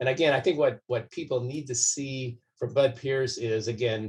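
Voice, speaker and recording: The speaker is a man with a medium-pitched voice. It sounds somewhat breathy. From US West, southern California. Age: 60s. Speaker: doctor and political candidate. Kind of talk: interview. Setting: podcast recording. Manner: calm, measured.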